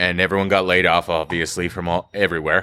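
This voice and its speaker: Very fast speech in an American accent, on a very clean recording with a silent background. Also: man. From Northern Nevada. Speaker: restaurant and bar co-owner. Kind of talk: casual interview chat. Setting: on location inside the bar.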